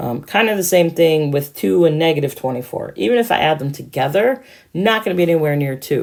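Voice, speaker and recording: A woman with an unremarkable speaking voice talks at a moderate pace in a fairly low pitch, on a very clean recording with a silent background. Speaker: math teacher. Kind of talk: tutorial.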